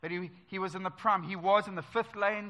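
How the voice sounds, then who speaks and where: Talking at a fairly quick pace, a man has a high pitch and a bright, sharp tone. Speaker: preacher. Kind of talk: church sermon. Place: church.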